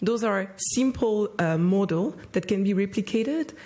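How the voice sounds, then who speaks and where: Her tone dark and mellow, a somewhat breathy woman speaks at a moderate pace. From Rwanda. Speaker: youth leader, social entrepreneur. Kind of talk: panel discussion.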